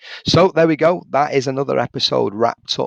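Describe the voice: A man puts on a hoarse, croaky character voice with a fairly high pitch. He talks at a fairly quick pace, and the sound is dry and close with no echo.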